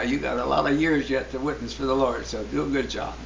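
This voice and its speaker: Speech at a fairly quick pace comes through audible room echo and noticeable background noise. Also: man. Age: 80s+. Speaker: church member. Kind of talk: testimony. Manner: halting.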